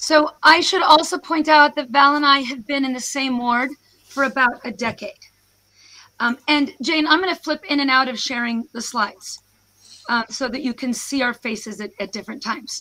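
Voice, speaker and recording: A woman with an American accent uses a raised, projected voice that is high-pitched with a bright, sharp tone. She talks at a moderate pace with ordinary pitch variation. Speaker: professor. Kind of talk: presentation to online audience. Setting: video call.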